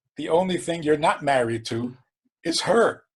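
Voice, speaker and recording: Very wide pitch swings run through this man's speech. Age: 70s. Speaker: rabbi. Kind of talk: podcast interview.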